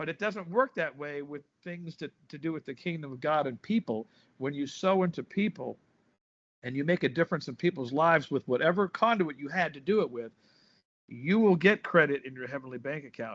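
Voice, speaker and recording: A man with an ordinary speaking voice talks fairly quickly at a fairly high pitch. His intonation is lively, and his loudness swings widely. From US West Coast, Compton, Los Angeles. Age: 60s. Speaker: drummer and pastor. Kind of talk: interview, casual chat.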